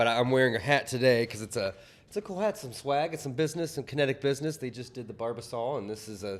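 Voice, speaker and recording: In a Southern accent, a man of medium pitch speaks at a very fast pace. His intonation is lively, and his loudness swings a lot. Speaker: talk show co-host. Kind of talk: casual chat. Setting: studio. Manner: halting.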